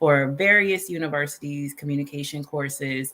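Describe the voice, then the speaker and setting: In an American accent, a woman with a very deep, low pitch speaks at a fairly slow pace with ordinary pitch variation. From Southern California. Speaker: communication coach. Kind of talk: interview.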